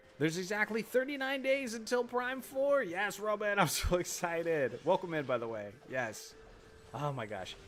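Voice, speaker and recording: Over noticeable background noise, a man talks at a moderate pace in a high voice that swings very widely in pitch. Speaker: gaming streamer. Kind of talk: live stream gameplay chat. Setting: live stream.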